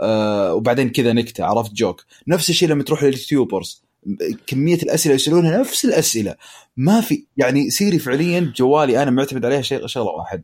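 Someone talks fairly quickly in a plain, everyday voice with lively intonation. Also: man, fairly high pitch for a man. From Eastern Province, Saudi Arabia. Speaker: smart home consumer. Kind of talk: casual chat.

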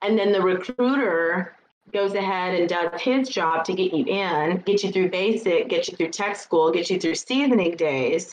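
At a moderate pace, a woman with an American accent and an unremarkable speaking voice keeps a medium pitch with ordinary pitch variation. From Illinois. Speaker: military paralegal. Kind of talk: interview.

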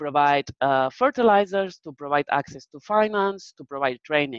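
A woman speaks with a Spanish accent. Her very deep, low voice moves with lively intonation. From Spain. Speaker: research manager presenter. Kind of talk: webinar presentation with Q&A. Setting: video call webinar.

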